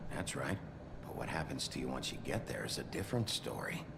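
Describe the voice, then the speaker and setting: Amid loud background noise, a man does a put-on character voice at a fairly quick pace and a fairly low pitch. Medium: game stream. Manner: gruff, blunt.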